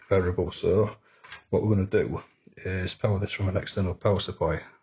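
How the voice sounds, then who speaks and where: Speaking at a very fast pace, a man with a fairly low pitch sounds somewhat breathy, keeping his intonation fairly even. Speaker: electronics repair youtuber. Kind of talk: tutorial.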